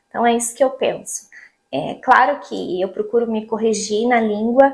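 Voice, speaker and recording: This is a woman talking. Her speed is moderate. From Brazil, Paraná. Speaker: vlogger. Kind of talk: casual vlog monologue.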